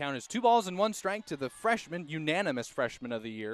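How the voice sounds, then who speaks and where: The man's pitch swings very widely while his pace stays fairly quick. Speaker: sports play-by-play announcer. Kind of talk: radio sports play-by-play.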